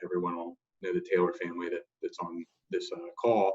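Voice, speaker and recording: A man speaks at a moderate pace. The recording is dry and close, with no echo. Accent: American. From North Carolina, Burlington. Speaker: tech company CEO. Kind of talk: panel discussion.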